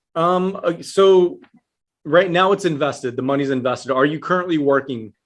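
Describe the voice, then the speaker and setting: Here is a man with an American accent in a plain, everyday voice. He has fairly high pitch and ordinary pitch variation, speaking at a moderate pace. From Texas, El Paso. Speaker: IRA specialist. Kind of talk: interview.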